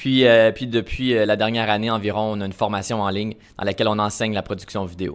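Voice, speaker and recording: In a Canadian French accent, a man talks at a fairly quick pace with a fairly low pitch. His intonation is monotone and flat, and the recording is very clean with a silent background. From Canada, Ottawa region. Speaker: travel filmmaker. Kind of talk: interview. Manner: hesitant, many fillers.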